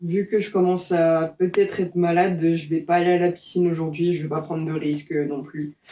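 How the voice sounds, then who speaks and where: Her intonation is monotone and flat. The woman speaks at a moderate pace with fairly low pitch. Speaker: vlogger. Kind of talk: personal video diary. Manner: relaxed, hesitant with many fillers.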